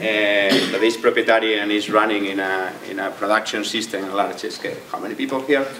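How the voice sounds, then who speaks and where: A man speaks with a strong Spanish accent and fairly even intonation. The room echo is audible and the background noise is noticeable. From Spain. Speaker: tech entrepreneur. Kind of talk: tech talk. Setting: stage with audience. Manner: halting, many repetitions.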